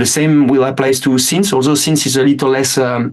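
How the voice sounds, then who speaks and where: In a French accent, a man talks at a fairly quick pace with fairly even intonation. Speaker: metal band musician. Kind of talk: interview. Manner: halting, many fillers.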